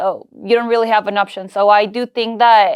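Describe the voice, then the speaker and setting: A monotone, flat delivery in a Peruvian accent against a quiet background. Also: woman. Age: 20s. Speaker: entrepreneur. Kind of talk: podcast interview.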